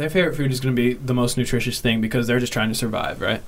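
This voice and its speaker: There is audible room echo as a man with an American accent speaks at a medium pitch. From Kansas City. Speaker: podcast co-host. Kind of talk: casual chat.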